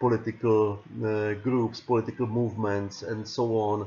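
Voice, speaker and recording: A man speaks with a Czech accent at a medium pitch. His intonation is monotone and flat. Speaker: political science lecturer. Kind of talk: lecture. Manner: halting, many repetitions and fillers.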